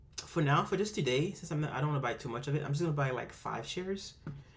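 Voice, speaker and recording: Vocal fry marks this man's voice. There is audible room echo. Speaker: amateur investing youtuber. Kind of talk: screen-recorded tutorial. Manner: fast, rushed; hesitant, many fillers.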